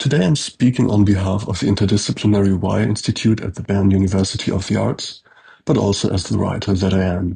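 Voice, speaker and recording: Fairly low male voice with vocal fry, fairly even intonation and a fairly quick pace. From Switzerland. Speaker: professor. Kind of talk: lecture. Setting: pre-recorded video. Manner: formal.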